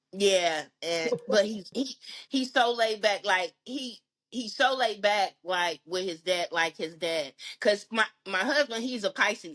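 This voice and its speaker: Fairly slow, lively-intoned speech from a woman at a medium pitch. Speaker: podcast guest. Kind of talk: casual chat. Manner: loud.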